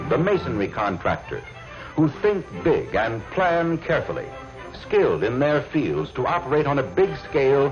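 A man at a moderate pace, with clear music in the background. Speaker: film narrator. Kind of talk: promotional documentary narration.

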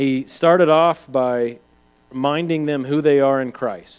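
A man speaks rather slowly, and the background is quiet. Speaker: Bible teacher. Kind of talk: lecture. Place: church.

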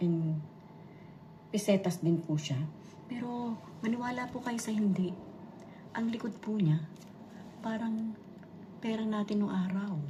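A woman at medium pitch, fairly slow, with long, frequent pauses and audible room echo. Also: ordinary pitch variation. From Philippines. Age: 60s. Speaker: vlogger. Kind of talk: casual vlog show-and-tell. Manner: repetitive filler-heavy.

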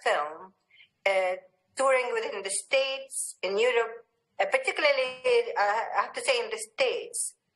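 Against a quiet background, a woman talks at a moderate pace in a high pitch with lively intonation. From Palestine. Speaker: filmmaker; speaker. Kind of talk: panel discussion. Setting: video call. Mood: calm, reflective. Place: home room. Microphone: webcam.

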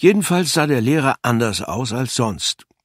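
Delivered at a fairly slow pace, the speech has lively intonation and a dry, close sound with no echo. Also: man. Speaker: audiobook narrator. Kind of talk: audiobook reading, children's story narration. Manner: animated, playful; lively character voices with varied pacing.

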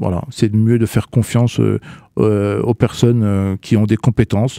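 Against a quiet background, a man with a fairly low pitch and a dark, mellow tone speaks with fairly even intonation in a dry sound with no echo. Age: 40s. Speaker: communication agency director; radio guest. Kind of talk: radio interview. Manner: halting, many hesitations. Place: studio. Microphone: studio mic.

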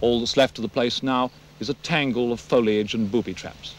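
Delivery comes at a fairly quick pace. The sound is dry, with no echo. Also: man. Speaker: war correspondent. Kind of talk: news report piece to camera. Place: forest.

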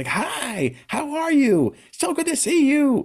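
Someone uses a put-on character voice, high in pitch and delivered at a fairly slow pace. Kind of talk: overly cheerful, out of place. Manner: really happy, cheery.

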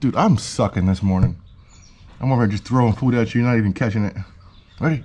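A man speaks over light background noise. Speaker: animal keeper vlogger. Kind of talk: casual vlog chat. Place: garden. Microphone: phone near.

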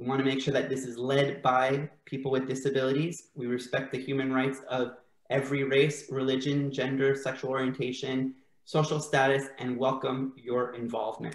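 The pace is moderate. The intonation is monotone and flat. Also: man, medium pitch for a man. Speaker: event host and interviewer. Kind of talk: casual bilingual interview hosting. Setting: video call.

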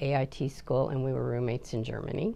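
Speaking fairly slowly with an American accent, a woman has a very deep, low voice. Her tone is dark and mellow, with vocal fry. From Oregon, US. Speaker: army veteran. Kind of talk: oral history interview. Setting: office. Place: office. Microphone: lapel.

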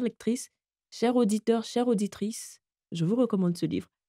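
A woman's dark, mellow voice at a fairly high pitch, with ordinary pitch variation and a dry, close sound with no echo. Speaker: audiobook narrator. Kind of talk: casual chat. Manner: slow.

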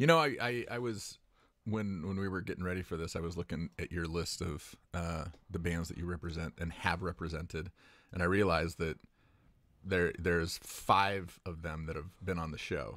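The voice moves at a moderate pace with ordinary pitch variation. It sounds dry with no echo against a quiet background. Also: man, very deep, low pitch for a man. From Buffalo. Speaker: podcast co-host. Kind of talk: casual chat; interview question, casual chat. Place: studio. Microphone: studio mic.

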